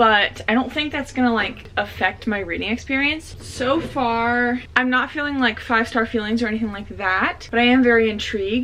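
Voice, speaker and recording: Delivered at a moderate pace, the speech has noticeable background noise behind it. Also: woman. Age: 20s. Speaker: book content creator. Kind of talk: casual vlog talk to camera.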